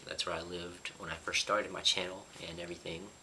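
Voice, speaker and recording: The speech moves at a fairly quick pace, with noticeable background noise throughout. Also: man. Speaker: YouTuber. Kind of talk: casual vlog talk. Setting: apartment. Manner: quiet, lowered voice.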